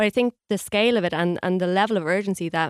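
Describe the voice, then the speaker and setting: A woman with an Irish accent talks at a moderate pace in a medium pitch, her intonation fairly even. The very clean recording has a dry, close sound with no echo and a silent background. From Ireland. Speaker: journalist. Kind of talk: radio interview.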